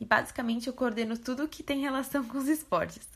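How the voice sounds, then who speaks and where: A woman talks at a fairly quick pace in an unremarkable speaking voice. Her pitch varies in an ordinary way. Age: 20s. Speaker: veterinary student. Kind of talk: testimony.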